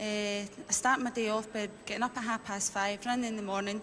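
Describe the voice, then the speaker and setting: A woman with a Glaswegian accent, fairly high-pitched and flat in a monotone, at a fairly quick pace over noticeable background noise. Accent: Glaswegian Scottish. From Scotland, Glasgow. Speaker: game show contestant, fitness advisor. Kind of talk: game show interview. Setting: indoor arena with audience.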